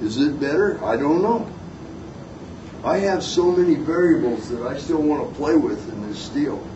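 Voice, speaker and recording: A man talks at a moderate speed in a high voice with lively intonation, while audible room echo and noticeable background noise surround him. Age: 60s. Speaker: knifemaker giving a seminar. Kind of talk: seminar talk with audience questions. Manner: casual, folksy with fillers.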